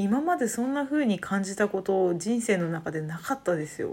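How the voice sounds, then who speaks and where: A woman's somewhat breathy, medium-pitched voice with lively intonation at a moderate pace. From Saitama, Japan. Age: 30s. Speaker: podcaster. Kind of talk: casual solo talk.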